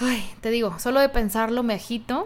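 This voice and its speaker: A woman is speaking. She keeps a moderate pace. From Mexico, Guadalajara, Jalisco. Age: 30s. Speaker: podcast host. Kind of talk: solo podcast monologue.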